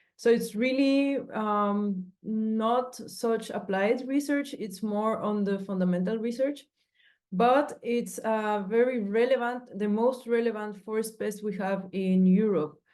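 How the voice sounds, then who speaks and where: Very slowly, a woman speaks in a fairly high pitch with fairly even intonation over a quiet background. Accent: Spanish. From Mexico. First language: Spanish. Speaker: PhD researcher. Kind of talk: research presentation.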